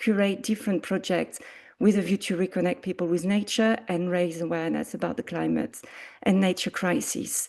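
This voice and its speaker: A woman speaks at a moderate pace in a French accent, with ordinary pitch variation. The background is quiet. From France. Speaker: arts coordinator. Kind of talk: presentation.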